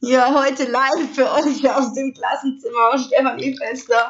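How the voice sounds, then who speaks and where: The speaker talks at a fairly slow pace with a Swabian accent and a somewhat breathy sound. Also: woman. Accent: Swabian, noticeable. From Stuttgart area, Swabia. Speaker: podcaster. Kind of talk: casual monologue. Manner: animated.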